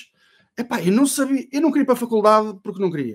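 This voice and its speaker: With a quiet background behind him, a man's pitch swings very widely. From Portugal, Ovar; Portugal. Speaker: SEO consultant and trainer; podcast guest. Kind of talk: casual interview chat.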